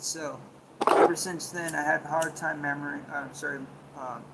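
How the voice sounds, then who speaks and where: Monotone, flat intonation amid noticeable background noise and audible room echo. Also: man. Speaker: livestreamer. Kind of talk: casual livestream chat. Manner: halting.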